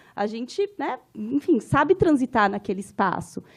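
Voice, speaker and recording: A woman talks at a moderate pace, her voice high and her intonation lively. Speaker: anthropologist and professor. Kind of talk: conference lecture. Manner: informal, conversational.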